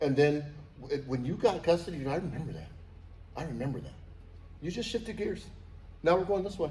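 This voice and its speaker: Audible room echo surrounds a man with a fairly high pitch and a dark, mellow tone, whose lively intonation is broken by long, frequent pauses. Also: fairly quick pace. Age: 60s. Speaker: father on a podcast about fatherhood. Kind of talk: casual chat. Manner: halting.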